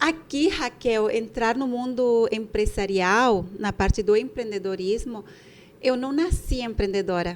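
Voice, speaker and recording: The woman talks at a fairly slow pace. Her pitch is fairly high, with ordinary variation. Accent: Bolivian. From Bolivia. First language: Spanish (speaking Portuguese). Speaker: podcast co-host, entrepreneur. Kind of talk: casual podcast chat.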